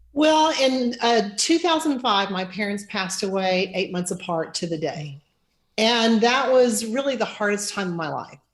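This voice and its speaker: A woman speaks at a fairly slow pace in a fairly high voice. Her delivery is somewhat breathy with lively intonation. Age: 60s. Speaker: financial planner. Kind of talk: interview.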